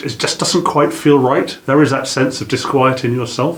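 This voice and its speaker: A man's medium-pitched voice with a British accent, fairly even intonation and a moderate pace, plus audible room echo. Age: 60s. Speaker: business trainer. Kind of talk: lecture. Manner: halting.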